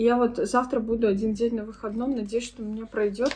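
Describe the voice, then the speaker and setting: A somewhat breathy woman speaks with fairly even intonation. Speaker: vlogger. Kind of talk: casual vlog talk.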